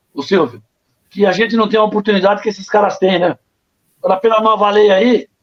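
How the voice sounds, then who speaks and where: A man speaks at a fairly quick pace with a high pitch. Long, frequent pauses break up his speech. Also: ordinary pitch variation. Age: 60s. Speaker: former goalkeeper, football coach. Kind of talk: interview.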